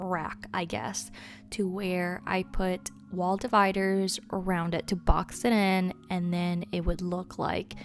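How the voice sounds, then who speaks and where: Music in the background behind a woman's medium-pitched voice, monotone, flat intonation, and a very slow pace. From Spanish-speaking country. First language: Spanish. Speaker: Sims gaming YouTuber. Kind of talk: casual build commentary. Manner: hesitant, filler-heavy.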